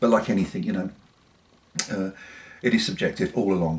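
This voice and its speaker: Noticeable background noise surrounds a man speaking with a southern English accent. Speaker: pipe smoker reviewer. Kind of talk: casual talk to camera.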